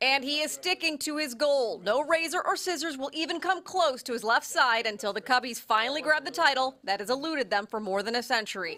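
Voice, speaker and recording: A woman's raised, projected, high-pitched voice, fairly quick with hardly any pauses and lively intonation, over noticeable background noise. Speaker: TV news reporter. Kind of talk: TV news narration.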